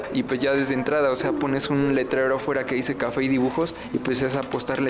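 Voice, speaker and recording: Fairly quick, monotone, flat male voice at a medium pitch, with audible room echo and noticeable background noise. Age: 30s. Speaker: illustrator and café owner. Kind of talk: interview. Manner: halting, many fillers.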